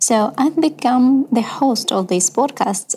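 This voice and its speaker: A woman speaks with a Ukrainian accent in a high voice. Her pace is fairly slow, with ordinary pitch variation. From Ukraine. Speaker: podcast host. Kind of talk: scripted narration.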